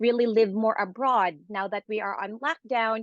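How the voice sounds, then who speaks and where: A woman with a fairly high pitch speaks in an ordinary speaking voice, with a quiet background and a dry, close sound with no echo. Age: 40s. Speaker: nurse and nursing professor. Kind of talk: interview testimony.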